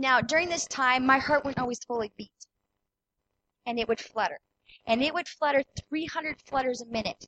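Pausing long and often, a woman talks in a high pitch with ordinary pitch variation. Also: moderate pace. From Manitoba, Canada. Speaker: personal trainer. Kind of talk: testimony. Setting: church.

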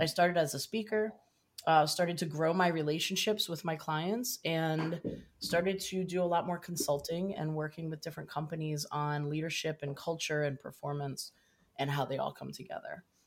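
Speaking in a plain, everyday voice, a woman talks at a moderate pace with fairly low pitch and fairly even intonation. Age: 50s. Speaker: leadership consultant and speaker. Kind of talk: interview.

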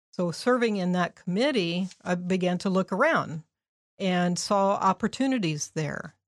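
A woman with a Midwestern American accent speaks at a fairly slow pace in a medium pitch. Her pitch varies in an ordinary way, and the sound is dry and close with no echo. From Indianapolis, Indiana. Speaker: downtown program manager. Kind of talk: interview.

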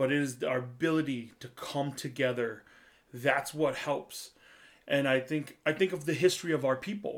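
Delivered in an American accent, a normal speaking voice moves at a moderate pace with ordinary pitch variation. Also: man, fairly high pitch for a man. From US Midwest, central Wisconsin. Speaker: chef. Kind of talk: casual chat. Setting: video call.

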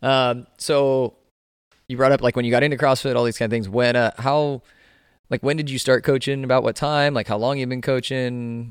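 In a very clean recording with a silent background, a man speaks at a moderate pace and medium pitch with monotone, flat intonation. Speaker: podcast host and CrossFit coach. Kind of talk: casual interview chat.

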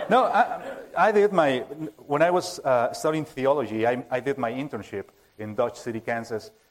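The speaker uses lively intonation and a Spanish accent at a moderate pace. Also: man. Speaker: preaching minister. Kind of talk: sermon. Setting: church. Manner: halting.

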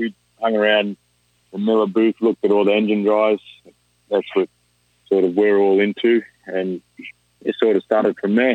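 A man with an Australian accent speaks at a fairly low pitch and moderate pace, monotone and flat, with very even loudness and long, frequent pauses. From New South Wales, Australia. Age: 20s. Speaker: rig welder. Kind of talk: casual chat.

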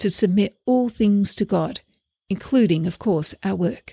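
A woman speaks fairly slowly at a medium pitch. Her voice is somewhat breathy, with ordinary pitch variation. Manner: measured, steady, earnest; teacherly, reflective, formal.

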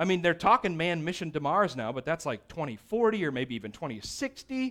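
Animated in tone, a man speaks with very wide pitch swings. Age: 30s. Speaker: pastor. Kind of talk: sermon.

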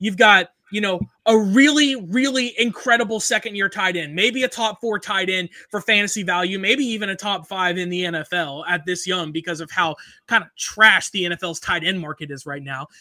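A man's raised, projected voice, high in pitch with a bright, sharp tone, at a moderate pace with ordinary pitch variation. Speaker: sports podcast host. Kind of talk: casual sports chat. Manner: animated. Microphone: professional mic.

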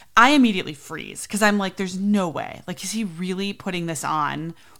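A woman with an unremarkable speaking voice at a medium pitch, ordinary pitch variation and a fairly quick pace, in a very clean recording with a silent background. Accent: American. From US Midwest, south suburbs of Chicago. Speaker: podcast host, nanny. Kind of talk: casual storytelling monologue.

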